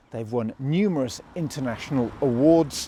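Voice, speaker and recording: With a British accent and a dark, mellow tone, a man speaks at a moderate pace with lively intonation. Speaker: podcast host. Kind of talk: casual chat.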